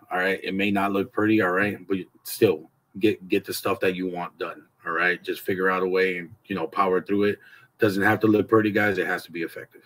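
Here is a man with an ordinary speaking voice and fairly low pitch. He talks at a fairly quick pace. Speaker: motivational vlogger. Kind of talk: casual vlog chat. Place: garage. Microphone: phone near.

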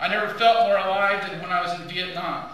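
A man speaks at a moderate pace with fairly even intonation. There is strong room echo and light background noise. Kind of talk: formal speech. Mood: solemn, earnest. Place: hall. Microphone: podium.

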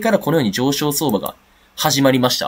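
A man's pitch swings very widely as he talks fairly fast. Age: 20s. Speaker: crypto trader YouTuber. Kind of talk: market analysis monologue. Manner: casual, many fillers.

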